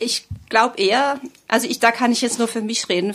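Here is an ordinary speaking voice from a woman. Her pitch is fairly high, with ordinary pitch variation. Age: 50s. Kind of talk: interview.

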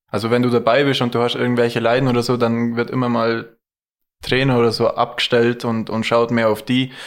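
Speaking at a fairly quick pace, a man keeps his loudness very even and his intonation monotone and flat. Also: medium pitch for a man. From Allgäu, Bad Hindelang area. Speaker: ski cross athlete. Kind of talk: casual chat.

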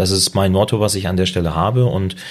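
Over noticeable background noise, a man speaks at a moderate pace in a very deep, low pitch with ordinary pitch variation. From northern Germany. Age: 20s. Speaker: loan broker. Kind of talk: interview. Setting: in person.

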